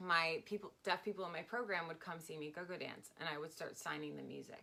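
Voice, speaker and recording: A woman with an American accent speaks at a fairly quick pace and fairly low pitch, her bright, sharp tone touched with vocal fry and her intonation fairly even. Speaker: stripper and sign language interpreter. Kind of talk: casual interview. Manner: fast.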